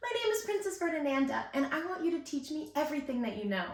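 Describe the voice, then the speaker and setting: A woman uses a squeaky, put-on character voice, high in pitch with very wide pitch swings. She talks at a very fast pace, with slight echo. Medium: read story.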